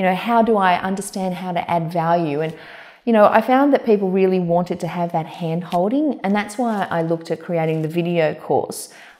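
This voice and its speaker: The pace is fairly quick. This woman's pitch rises and falls in an ordinary way. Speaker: coach. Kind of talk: interview answer. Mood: warm, animated. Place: home room.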